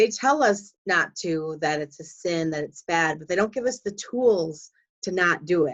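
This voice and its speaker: Lively intonation in a Wisconsin accent, with big swings in loudness. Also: woman, fairly low pitch for a woman, fairly slow pace. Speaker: podcast host, bodywork practitioner. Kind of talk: conversational podcast interview.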